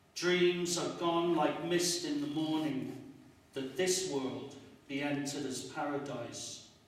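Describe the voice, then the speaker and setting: A man's fairly high voice at a very slow pace, with noticeable background noise. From Northern England. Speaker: poet. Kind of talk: poetry reading.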